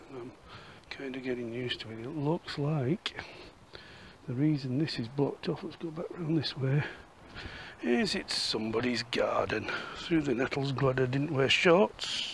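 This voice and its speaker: A man with a Yorkshire accent at a moderate pace, ordinary pitch variation, long and frequent pauses, and noticeable background noise. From Yorkshire, northern England. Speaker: walking and history vlogger. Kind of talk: casual walk-and-talk vlog narration; voiceover narration. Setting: outdoors.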